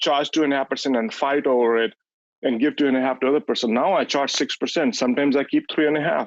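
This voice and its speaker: Recorded with a dry, close sound and no echo, a man with a non-native accent speaks at a fairly quick pace in a fairly high pitch. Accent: foreign. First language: not English (English is his third language). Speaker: real estate agent, coaching client. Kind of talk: testimony on a coaching call. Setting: group coaching call. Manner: halting, with false starts.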